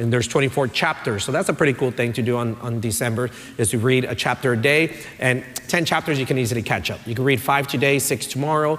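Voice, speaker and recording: A man at a medium pitch and a very fast pace with ordinary pitch variation, against noticeable background noise. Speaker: pastor. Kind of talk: sermon. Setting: church. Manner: animated.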